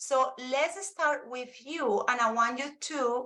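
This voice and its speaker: A woman with a Spanish accent speaks in a raised, projected voice with a bright, sharp tone. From Colombia. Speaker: Spanish teacher and presenter. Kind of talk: live webinar presentation.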